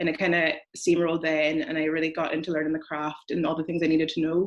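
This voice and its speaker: Very fast and monotone, a woman with a Donegal Irish accent talks in a very deep, low pitch with flat intonation. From Ireland, County Donegal. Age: 20s. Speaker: screenwriter. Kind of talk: casual interview.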